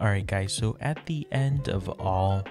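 Dry, echo-free sound with clear music in the background. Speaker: product reviewer. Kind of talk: product review voice-over. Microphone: studio mic.

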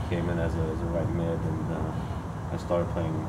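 Loud background noise sits behind a man speaking at a moderate pace. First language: German. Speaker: professional soccer player. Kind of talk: press conference Q&A.

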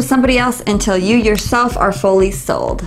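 There is light background noise as a woman talks at a fairly quick pace. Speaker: book reviewer. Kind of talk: book review monologue. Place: shop. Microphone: lapel.

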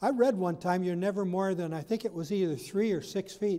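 This man has a high-pitched voice with a dark, mellow tone. His pitch varies in an ordinary way. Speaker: pastor. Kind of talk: sermon. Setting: church. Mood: warm, lightly humorous. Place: church.

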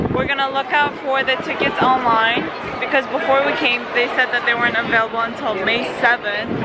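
With crowd noise behind her, a woman speaks in a dry sound with no echo. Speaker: vlogger. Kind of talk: casual vlog chat. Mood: cheerful, laughing. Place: street. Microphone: phone near.

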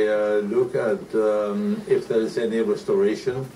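The man's pitch is medium, with very wide pitch swings at a moderate pace. Noticeable background noise runs beneath him. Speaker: art dealer. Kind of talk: TV news interview answer.

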